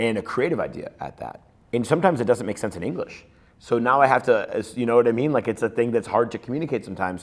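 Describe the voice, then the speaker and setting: Very fast delivery from a man, medium in pitch, with ordinary pitch variation. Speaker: film director. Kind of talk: interview.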